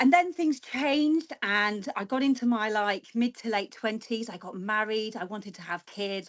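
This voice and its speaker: A woman talks in an ordinary speaking voice with a fairly high pitch and lively intonation. Her pace is moderate, with hardly any pauses and big swings in loudness. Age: 40s. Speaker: guest speaker, former weather presenter. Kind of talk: presentation.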